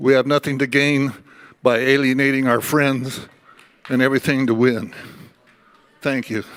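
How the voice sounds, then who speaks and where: Monotone and flat, a man at medium pitch speaks with long, frequent pauses. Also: moderate pace. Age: 80s+. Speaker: convention delegate. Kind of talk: floor speech at political convention.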